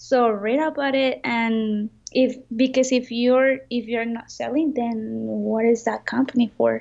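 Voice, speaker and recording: Spoken with a Spanish accent, the voice moves at a fairly slow pace in a flat monotone and barely stops for breath. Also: woman, fairly high pitch for a woman. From Mexico. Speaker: entrepreneur. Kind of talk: interview.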